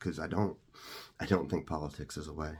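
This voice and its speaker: A man speaking with a very deep, low pitch. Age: 40s. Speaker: content creator. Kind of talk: personal story monologue. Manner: fast; halting, many fillers.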